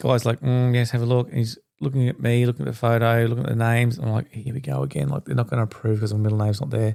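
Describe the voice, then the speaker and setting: A man with an Australian accent, medium pitch and a dark, mellow tone, ordinary pitch variation, a very fast pace and hardly any pauses. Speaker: podcast host. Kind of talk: personal storytelling monologue. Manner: animated.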